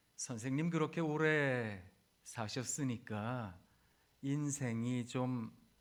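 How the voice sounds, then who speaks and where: There is audible room echo as a man speaks at a very slow pace and medium pitch with ordinary pitch variation. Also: long, frequent pauses. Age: 50s. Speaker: pastor. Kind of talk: sermon. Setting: chapel service for hospital staff.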